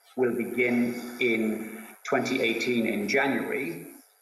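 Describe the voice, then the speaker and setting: A man with an Irish accent and a medium pitch, in audible room echo. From Ireland. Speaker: science policy speaker at a conference. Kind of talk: conference talk. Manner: hesitant, repeating words. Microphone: slight echo.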